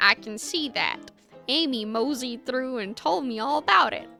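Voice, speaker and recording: A woman uses a put-on character voice at a high pitch and a moderate pace. Faint music plays in the background. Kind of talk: folksy. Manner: gruff, playing a saloon keeper.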